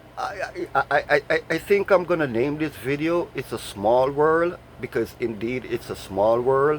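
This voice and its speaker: With hardly any pauses, the speaker talks in a Jamaican accent over noticeable background noise. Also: man, fairly high pitch for a man, lively intonation, fairly slow pace. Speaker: vlogger. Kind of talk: casual vlog monologue. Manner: repetitive stammering fillers.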